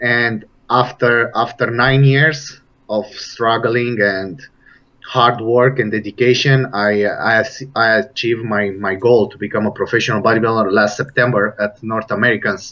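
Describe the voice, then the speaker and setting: A man speaks at a moderate pace in a Romanian accent. His pitch is medium, and his intonation is fairly even. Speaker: bodybuilder and personal trainer. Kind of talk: interview. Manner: halting.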